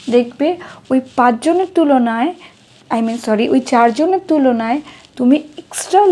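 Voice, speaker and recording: Someone with a Bengali accent speaks at a fairly slow pace with lively intonation. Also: woman. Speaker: English teacher. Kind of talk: tutorial. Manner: code-switching Bengali and English; halting, self-correcting.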